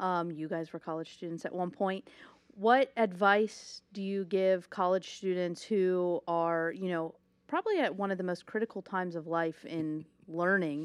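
Against a quiet background, a woman speaks at a moderate pace with fairly even intonation. Hers is an unremarkable speaking voice at medium pitch. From Ohio. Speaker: podcast co-host. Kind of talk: casual interview chat.

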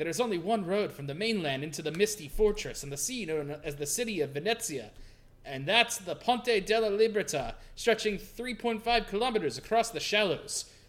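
Putting on a character voice with an Italian accent, a man speaks in a sing-song way at a high pitch and moderate pace. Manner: lilting, sing-song.

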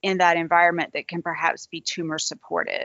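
A woman speaks in a Southern US accent. Her pitch is fairly low. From US South, Georgia. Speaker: interviewer, cancer researcher host. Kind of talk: interview, conversational. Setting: video call. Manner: animated, enthusiastic.

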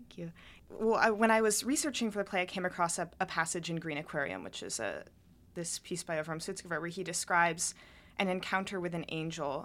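A plain, everyday voice speaks at a fairly quick pace. The recording is very clean, with a silent background. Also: woman, fairly low pitch for a woman, ordinary pitch variation. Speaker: college student and playwright. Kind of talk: interview. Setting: studio.

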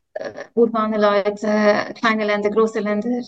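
A woman speaks at a moderate pace in a fairly high pitch, her intonation monotone and flat. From Switzerland. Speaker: social work professor. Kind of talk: interview. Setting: video call. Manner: hesitant with many fillers.

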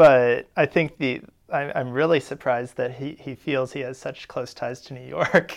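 A man with an American accent, an ordinary speaking voice, medium pitch and fairly even intonation, big swings in loudness, a moderate pace, and a quiet background. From St. Louis, US Midwest. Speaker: linguistics graduate student. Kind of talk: expert analysis.

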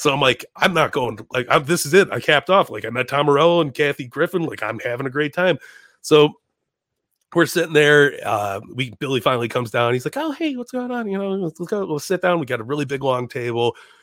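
A man's fairly high, lively voice with an American accent at a very fast pace, dry and close with no echo, on a very clean recording with a silent background. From Chicago. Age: 30s. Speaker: comedian and podcaster. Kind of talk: casual chat.

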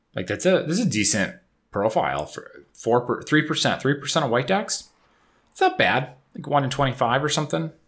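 With an upstate New York accent, this man talks fairly quickly in a fairly high voice roughened by vocal fry. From Syracuse, New York. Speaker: podcast host. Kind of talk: casual chat, podcast. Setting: home recording.

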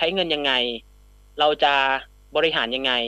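A man talks in a bright, sharp tone, his pitch moving in an ordinary way, with only a quiet background behind him. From Southern Thailand, Phatthalung. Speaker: journalist and content creator. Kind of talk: radio interview.

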